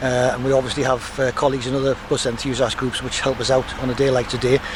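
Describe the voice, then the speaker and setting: Speaking at a very fast pace and a medium pitch, a man is heard over noticeable background noise. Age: 70s. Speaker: bus enthusiast and driver. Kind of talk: interview.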